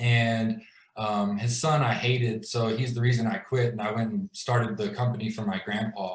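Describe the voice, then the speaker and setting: A man with an ordinary speaking voice talks at a moderate pace, with medium pitch and fairly even intonation. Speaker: glass business owner telling his story. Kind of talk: personal story in a live video chat. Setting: video call livestream. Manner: casual, filler-heavy.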